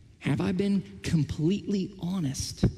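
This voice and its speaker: A man with an American accent speaks at a high pitch in a dark, mellow tone. Audible room echo surrounds his voice. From Oklahoma. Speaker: pastor. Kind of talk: sermon. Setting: church.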